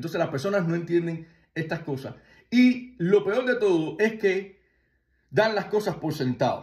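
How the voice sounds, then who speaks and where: A man speaks at a high pitch and a fairly slow pace. His intonation is lively. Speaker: spiritual tradition teacher. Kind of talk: video monologue.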